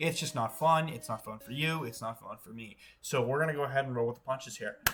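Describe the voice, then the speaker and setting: Over noticeable background noise, a man talks at a very fast pace in an animated tone. His pitch is fairly high with ordinary variation, and his loudness swings widely. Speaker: Pokemon content creator. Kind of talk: casual gaming commentary.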